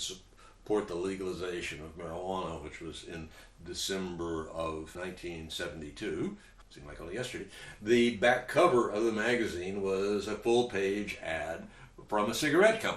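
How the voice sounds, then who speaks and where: Speaking with an American accent, a man at a fairly low pitch keeps a moderate pace with ordinary pitch variation and big swings in loudness, and audible room echo is present. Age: 70s. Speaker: cannabis advocate and commentator. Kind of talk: talking-head commentary. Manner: conversational, with hesitations.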